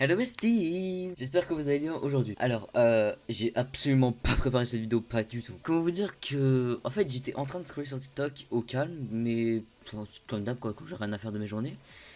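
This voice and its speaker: A man at medium pitch, moderate pace and lively intonation, with hardly any pauses. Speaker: anime youtuber. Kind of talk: improvised vlog explainer. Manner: hesitant, searching for words.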